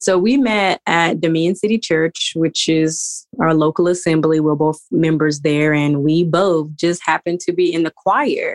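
Hardly pausing, a woman with an unremarkable speaking voice talks at a fairly low pitch, with very even loudness and ordinary pitch variation. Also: moderate pace. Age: 30s. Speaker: newlywed guest, business student. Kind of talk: interview.

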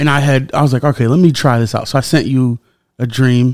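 Speaking fairly quickly at a medium pitch, the man has an ordinary speaking voice. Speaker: podcast host. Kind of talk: casual interview.

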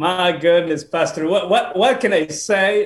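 A man talks at a fairly slow pace in a Spanish accent. Noticeable background noise runs behind him. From Peru. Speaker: pastor. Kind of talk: casual interview. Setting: video call. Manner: halting.

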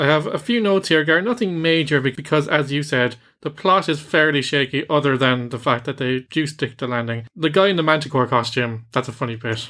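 Fairly quick, nearly pause-free speech from a man with an Irish accent, a fairly high pitch, a bright, sharp tone and ordinary pitch variation, on a very clean recording with a silent background. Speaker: podcast host, film reviewer. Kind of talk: casual review chat; scripted show outro.

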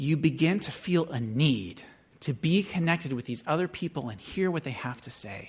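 A man's fairly high voice with vocal fry and lively intonation. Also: moderate pace. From US Pacific Northwest, Seattle. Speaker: pastor. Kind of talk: sermon.

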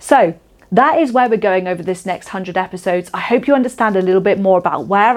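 In a Shropshire accent, a woman talks very fast at medium pitch with ordinary pitch variation and an animated tone. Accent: English West Midlands (Shropshire). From Shropshire, England. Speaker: podcast host and women's coach. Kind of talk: solo podcast monologue.

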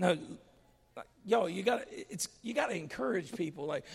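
The man sounds animated. He talks at a moderate pace. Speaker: pastor. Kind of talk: sermon.

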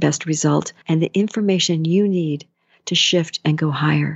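A woman with an unremarkable speaking voice and ordinary pitch variation talks at a moderate pace. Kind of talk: guided meditation.

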